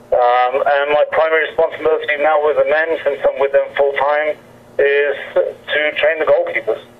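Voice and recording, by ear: Using little pitch movement, a man talks at a moderate pace in a fairly high voice.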